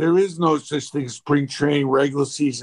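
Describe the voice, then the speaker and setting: Using an ordinary speaking voice, this man keeps his intonation fairly even at a fairly high pitch. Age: 60s. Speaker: sales expert and author. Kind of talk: interview.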